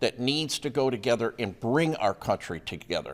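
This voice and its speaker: The recording is very clean, with a silent background. A man speaks at a moderate pace with vocal fry. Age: 70s. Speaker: local politician. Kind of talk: news interview.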